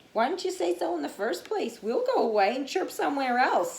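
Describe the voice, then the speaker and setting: Using a put-on character voice, a woman speaks high with very wide pitch swings. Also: fairly quick pace. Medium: read story. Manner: cheerful, eager.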